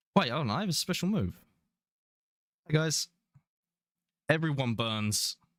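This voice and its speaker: With a British accent, a man speaks with very wide pitch swings and long, frequent pauses, in a dry, close sound with no echo. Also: moderate pace. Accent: British, often taken for Australian. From England. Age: 20s. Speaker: VTuber gaming streamer. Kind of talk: casual gaming livestream chat. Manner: halting, many restarts.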